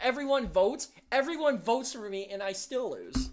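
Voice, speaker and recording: With an American accent and an animated tone, a woman speaks at a moderate pace in a high pitch that swings very widely. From Erie, Pennsylvania. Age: 20s. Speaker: livestream host. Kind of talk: casual chat.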